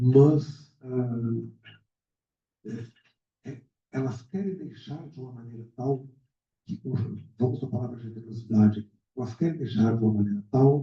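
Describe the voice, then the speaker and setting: With long, frequent pauses and big swings in loudness, a man speaks at a fairly slow pace and medium pitch, his tone dark, mellow and somewhat breathy, his pitch varying in an ordinary way. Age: 60s. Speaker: literary mentor. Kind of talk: book launch speech. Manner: halting.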